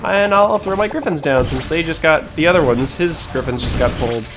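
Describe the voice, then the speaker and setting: Over music in the background, a man with a high voice speaks with lively intonation amid audible room echo. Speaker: gaming YouTuber. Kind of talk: gameplay commentary. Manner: fast; casual.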